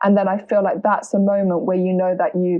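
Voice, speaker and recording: A woman talks at a medium pitch with a British accent. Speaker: singer-songwriter. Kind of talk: interview.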